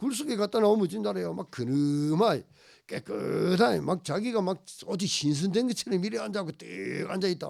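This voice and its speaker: An animated man with a Gyeongsang accent, a high pitch, very wide pitch swings and a moderate pace. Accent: Gyeongsang dialect Korean. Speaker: pastor. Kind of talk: sermon.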